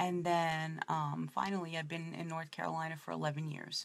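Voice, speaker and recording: Somewhat breathy, a woman speaks with a strong New York accent and a very deep, low pitch. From New York City (Brooklyn). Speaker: makeup presenter. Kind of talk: makeup tutorial. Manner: casual, chatty.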